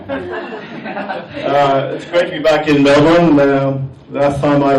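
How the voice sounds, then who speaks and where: The speech moves at a very slow pace, in an Irish accent. Noticeable background noise runs underneath. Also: man. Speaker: amateur stand-up comedian. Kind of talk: live stand-up comedy set. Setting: live comedy venue with audience.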